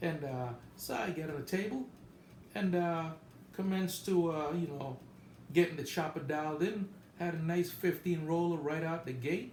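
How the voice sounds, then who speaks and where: The room echo is audible. A man talks in a fairly high pitch. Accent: American. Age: 60s. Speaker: gambling vlogger. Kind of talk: casual monologue trip report. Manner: casual, halting with many fillers.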